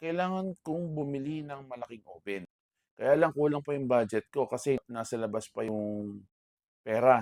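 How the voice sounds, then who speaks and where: A man at a medium pitch speaks at a moderate pace with lively intonation and big swings in loudness, recorded dry and close with no echo. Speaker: vlogger and bakery owner. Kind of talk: personal talk to camera. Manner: loud voice.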